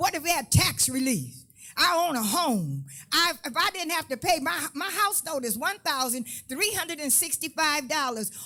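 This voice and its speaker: A woman speaks at a moderate pace in a raised, projected voice, her high pitch moving with lively intonation. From US, Los Angeles area (Compton). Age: 70s. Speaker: community activist. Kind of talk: public comment at a community meeting. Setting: public listening session with audience. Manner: impassioned.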